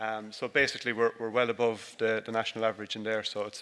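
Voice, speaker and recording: A man with an Irish accent, a medium pitch and a bright, sharp tone, at a fairly quick pace. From Ireland. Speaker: dairy farmer. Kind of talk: conference presentation. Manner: halting, many fillers.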